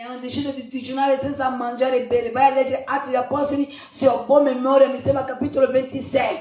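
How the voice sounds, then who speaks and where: A woman with a high pitch speaks at a very fast pace with hardly any pauses. Her intonation stays monotone and flat. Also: big swings in loudness. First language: not Italian (speaking Italian). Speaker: pastor. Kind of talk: sermon.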